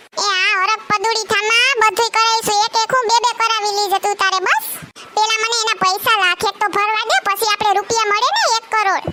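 A cartoonish character voice runs at a moderate pace with very even loudness over clear background noise. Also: woman, extremely high pitch for a woman. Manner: easygoing, placating.

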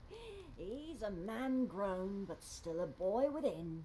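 Against clear background noise, a woman does a put-on character voice at a medium pitch and a very slow pace.

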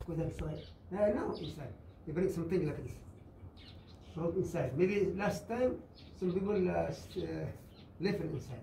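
The speech keeps a moderate pace and ordinary pitch variation, broken by long, frequent pauses, with audible room echo and light background noise. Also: man, high pitch for a man. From Socotra, Yemen. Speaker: fisherman. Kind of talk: storytelling to visitors. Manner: animated, comic timing. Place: tunnel cave. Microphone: camera far.

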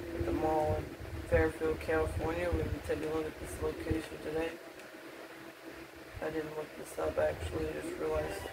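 A moderate pace over loud background noise. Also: man. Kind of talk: casual commentary. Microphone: phone near.

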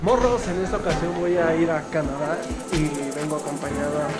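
A man at a moderate pace over loud music in the background. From Mexico. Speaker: travel vlogger. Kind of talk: casual travel vlog talk to camera. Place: station. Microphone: phone near.

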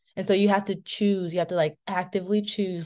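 In an American accent, a woman with a plain, everyday voice speaks at a medium pitch with fairly even intonation against a quiet background. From suburban Maryland. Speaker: food systems young professional; webinar panelist. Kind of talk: webinar panel discussion. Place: home room. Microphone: video call.

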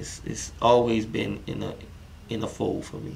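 A man speaks with a New Orleans accent in a medium pitch. Noticeable background noise can be heard. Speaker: comedian. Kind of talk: casual interview. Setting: studio, seated with host.

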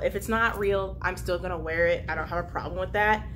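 With light background noise, a woman talks at a moderate pace. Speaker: vlogger. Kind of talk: casual vlog chat. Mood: cheerful, chatty. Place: home room. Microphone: camera far.

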